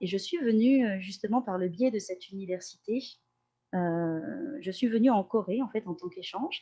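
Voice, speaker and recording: Somewhat breathy and dark, mellow in tone, this woman's voice shows ordinary pitch variation. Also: medium pitch for a woman, moderate pace. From Corsica (Ajaccio). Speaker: language teacher and translator. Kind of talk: podcast interview. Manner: hesitant, many euh fillers.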